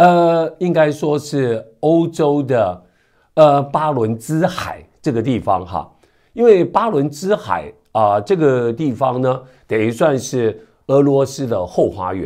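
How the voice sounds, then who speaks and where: A man's fairly high voice, dark and mellow in tone, with very wide pitch swings and a very slow pace, in a very clean recording over a silent background. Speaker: news commentator. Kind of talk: news commentary. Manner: conversational with many filler particles.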